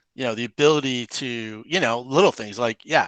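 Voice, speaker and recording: A man with an American accent has an ordinary speaking voice, medium pitch and fairly even intonation at a moderate pace. The sound is dry and close with no echo, against a quiet background. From US Midwest, Michigan and Ohio. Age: 50s. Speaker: podcast host. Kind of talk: interview conversation.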